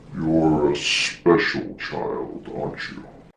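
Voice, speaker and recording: A man's put-on character voice, very deep and low in pitch, growling and booming at a very slow pace over clear background noise. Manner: condescending.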